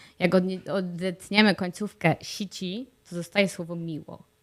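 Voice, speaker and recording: A woman with a plain, everyday voice speaks at medium pitch and a fairly slow pace. The recording is very clean, with a silent background. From Poland. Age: 30s. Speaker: vlogger. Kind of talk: video diary monologue. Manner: frequent fillers.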